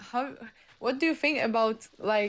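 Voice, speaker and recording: A woman speaks at a fairly slow pace with ordinary pitch variation and a slight Polish accent. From Poland. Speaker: caller. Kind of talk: heated debate. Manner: halting.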